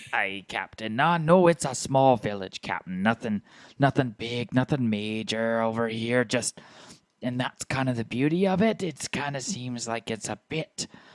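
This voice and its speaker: A man puts on a character voice at a medium pitch. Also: moderate pace, very clean recording, silent background. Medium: actual play. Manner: eager, scheming.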